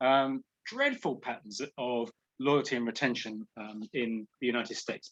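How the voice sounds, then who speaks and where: A man with a British accent speaks in a bright, sharp tone, the sound dry and close with no echo. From England. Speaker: professor. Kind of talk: webinar lecture.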